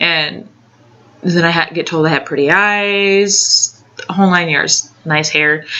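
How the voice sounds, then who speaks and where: A woman with a fairly low pitch and ordinary pitch variation speaks against noticeable background noise. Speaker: video blogger. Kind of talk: casual advice vlog. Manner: halting, many fillers.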